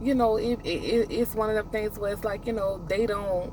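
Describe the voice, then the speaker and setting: Noticeable background noise sits behind a woman's voice. She has a fairly high pitch, fairly even intonation, and a moderate pace. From US South. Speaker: trucking student vlogger. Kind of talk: casual vlog monologue. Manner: halting, repeats words; rambling, conversational.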